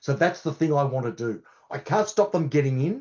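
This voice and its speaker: A man talks with an Australian accent at a fairly high pitch. His intonation is lively and his voice is somewhat breathy. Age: 60s. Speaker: cybersecurity consultant. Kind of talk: podcast interview.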